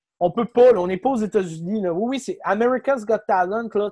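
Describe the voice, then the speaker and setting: A man with a Quebec accent, fairly quick pace and ordinary pitch variation, in a dry, close sound with no echo. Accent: Québécois French. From Quebec City. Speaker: comedian and content creator. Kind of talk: casual chat.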